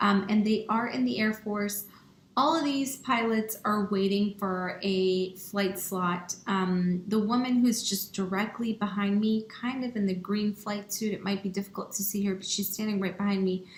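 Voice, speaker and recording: Delivery is fairly slow, with fairly even intonation. Noticeable background noise runs underneath. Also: woman. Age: 30s. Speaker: pilot and aviation nonprofit founder. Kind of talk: online workshop presentation. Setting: online workshop. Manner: conversational with frequent fillers.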